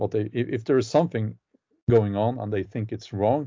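At a moderate pace, a man talks in a medium-pitched voice with a Norwegian accent. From Norway. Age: 40s. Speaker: novelist and YouTuber. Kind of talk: interview conversation. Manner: hesitant, halting with fillers.

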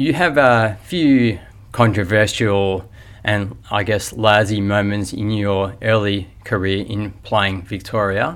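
Speech in an Australian accent comes at a very slow pace with fairly even intonation. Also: man. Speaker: podcast host. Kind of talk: interview. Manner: halting.

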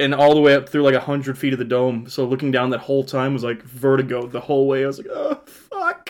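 With an American accent, a man speaks at a very fast pace in a monotone, flat intonation. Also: medium pitch for a man. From Kansas and Texas. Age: 20s. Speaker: podcast co-host. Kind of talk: casual chat.

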